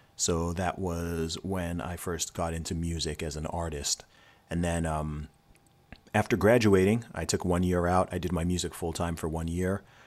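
At a moderate pace, a man with a very deep, low voice speaks in a fairly even intonation. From Saudi Arabia and England. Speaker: rapper and creative entrepreneur. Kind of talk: casual interview.

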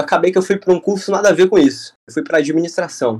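A man talking at a fairly quick pace. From Brazil, Fortaleza, Ceará. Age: 20s. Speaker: UX/UI designer. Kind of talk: podcast interview. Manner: casual, filler-heavy.

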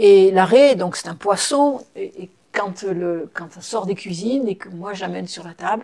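Here a woman talks at a very slow pace. Her pitch is medium, with ordinary variation. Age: 60s. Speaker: psychotherapist and ceremony officiant. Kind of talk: interview. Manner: halting.

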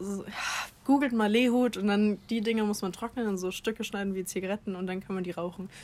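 A woman with an ordinary speaking voice talks at a fairly quick clip, her medium pitch held in fairly even intonation. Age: 20s. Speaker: podcast co-host. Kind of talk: casual chat. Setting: outdoors on a garden terrace.

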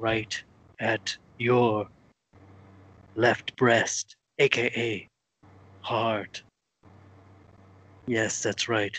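Raspy and at medium pitch, a man talks at a very slow pace in a monotone, flat intonation, with long, frequent pauses. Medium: comedy sketch. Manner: mock-sweet, threatening.

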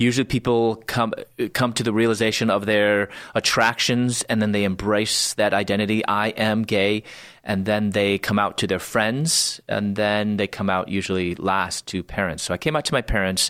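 On a very clean recording with a silent background, a man with an American accent speaks at a moderate pace in a fairly low pitch, with fairly even intonation and very even loudness. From US Midwest, Chicago suburbs. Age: 40s. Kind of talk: testimony.

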